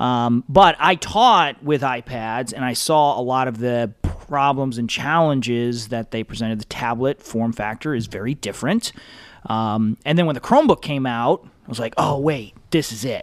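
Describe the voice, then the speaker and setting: In a plain, everyday voice, a man with an American accent talks at a moderate pace and medium pitch, with ordinary pitch variation and hardly any pauses. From Michigan. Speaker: education technology consultant, former teacher. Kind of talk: casual interview.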